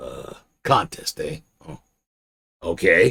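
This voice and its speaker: This man's voice is raspy. He is doing a put-on character voice. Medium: read story. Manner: drawling, hesitant.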